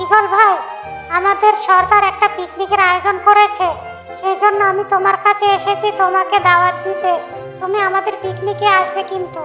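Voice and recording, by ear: A cartoonish character voice at a moderate pace, with clear music in the background.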